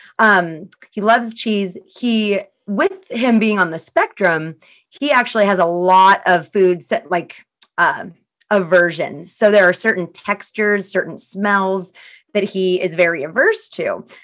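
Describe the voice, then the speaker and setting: A woman with an unremarkable speaking voice talks at a fairly slow pace. Her pitch is medium, with ordinary variation. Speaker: trainer and podcast host. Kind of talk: casual interview chat. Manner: upbeat, chatty.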